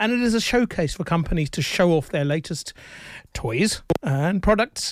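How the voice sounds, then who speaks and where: A man speaks with lively intonation. His pitch sits fairly high. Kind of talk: radio co-host banter: casual, back-and-forth tech news discussion. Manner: measured, conversational, hesitant with frequent 'uh' fillers, affable.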